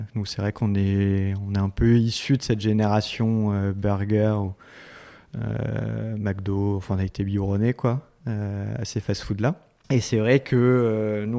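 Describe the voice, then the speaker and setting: On a very clean recording with a silent background, a man with a fairly low pitch and a dark, mellow tone speaks at a fairly slow pace with fairly even intonation. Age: 30s. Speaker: restaurant chain co-founder. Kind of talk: interview. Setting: office. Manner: hesitant, many fillers.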